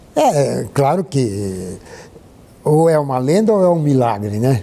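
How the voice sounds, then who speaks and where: This man's voice sits at a medium pitch. He talks at a very slow pace. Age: 80s+. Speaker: historian and architect. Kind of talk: interview.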